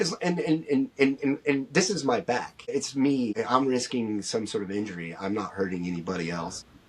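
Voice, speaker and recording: A medium-pitched man with an American accent talks at a moderate pace with hardly any pauses and very wide pitch swings. Noticeable background noise runs underneath. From US Midwest, Ohio (Dayton area). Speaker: clothing brand founder. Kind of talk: podcast interview. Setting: podcast recording.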